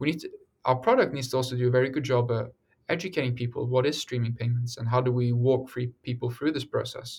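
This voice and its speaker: Speaking at a very fast pace, a man's medium-pitched voice sounds somewhat breathy. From Norway and England. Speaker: startup co-founder. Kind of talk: interview.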